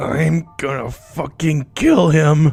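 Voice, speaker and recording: In a put-on character voice, a man sounds furious and raspy at a fairly high pitch with fairly even intonation, while faint music plays in the background. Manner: through gritted teeth, furious.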